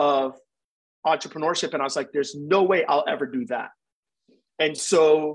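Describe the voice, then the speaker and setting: The man keeps his speech at a moderate speed. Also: quiet background. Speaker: interview guest. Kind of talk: interview answer. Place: home room. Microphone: video call.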